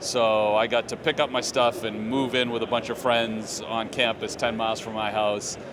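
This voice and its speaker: A man with a slight Boston accent and medium pitch speaks in a monotone, flat way at a moderate pace with hardly any pauses, over noticeable background noise. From Boston area, Massachusetts. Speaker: business executive. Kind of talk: casual podcast interview. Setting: trade show floor.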